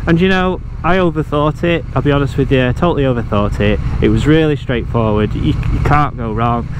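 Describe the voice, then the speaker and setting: Fairly high-pitched man with a Yorkshire accent, fairly quick pace and ordinary pitch variation, amid noticeable background noise and audible room echo. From Yorkshire, northern England. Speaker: motorcycle travel vlogger. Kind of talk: casual vlog narration. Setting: riding a motorcycle outdoors.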